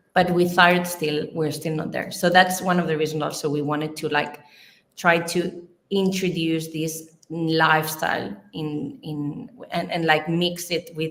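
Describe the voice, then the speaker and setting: A woman speaks at a fairly slow pace with a fairly low pitch and fairly even intonation. Audible room echo surrounds her voice. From Spain, Barcelona. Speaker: nutrition researcher. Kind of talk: livestream interview.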